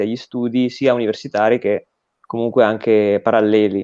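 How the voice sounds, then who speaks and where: This is a male voice. The tone is dark and mellow. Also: dry, close sound with no echo. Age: 20s. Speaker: recent graduate, political education guest. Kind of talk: interview conversation. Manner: hesitant, with fillers and repetitions.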